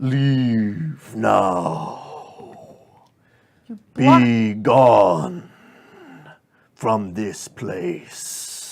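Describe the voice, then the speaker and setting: A man's raspy, booming put-on character voice at a fairly low pitch. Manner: commanding, ominous.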